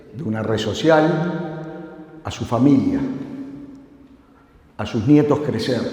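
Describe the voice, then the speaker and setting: Over noticeable background noise and audible room echo, a man speaks at a very slow pace. His pitch is fairly high. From Uruguay. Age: 60s. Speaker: security conference speaker. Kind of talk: conference talk. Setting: stage with audience.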